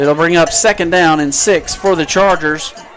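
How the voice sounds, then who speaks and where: A man with a Southern US accent, high pitch and fairly even intonation, with music in the background and audible room echo. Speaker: play-by-play announcer. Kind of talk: live commentary. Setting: press box above stadium crowd. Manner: loud, yelling.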